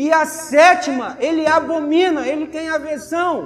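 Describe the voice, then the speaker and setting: A man's extremely high-pitched voice in a Brazilian accent, very slow and fairly even in intonation, over noticeable background noise. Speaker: preacher. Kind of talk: sermon. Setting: church. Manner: earnest, admonishing; rhetorical questions, conversational teaching.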